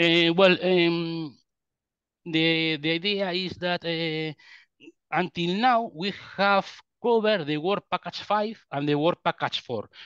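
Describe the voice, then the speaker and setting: A man's high-pitched voice with a Spanish accent, very slow, with ordinary pitch variation, dry and echo-free against a quiet background. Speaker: quantum computing researcher; webinar presenter. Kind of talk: technical presentation; technical lecture. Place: home room.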